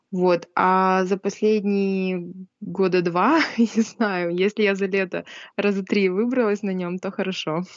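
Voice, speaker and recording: Her pace is very slow. The woman's voice sits at a medium pitch. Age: 20s. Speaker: preschool teacher. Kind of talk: casual chat.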